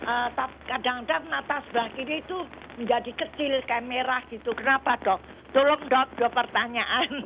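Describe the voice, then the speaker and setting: Through noticeable background noise, a woman talks at a high pitch and a moderate pace with ordinary pitch variation. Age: 80s+. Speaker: caller. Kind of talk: phone-in question. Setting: phone call. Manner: halting.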